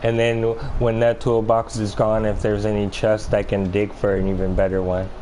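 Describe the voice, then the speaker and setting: A soft-spoken man with a fairly low pitch talks in a flat monotone over noticeable background noise. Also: moderate pace. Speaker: video game streamer. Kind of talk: live gameplay commentary. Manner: halting.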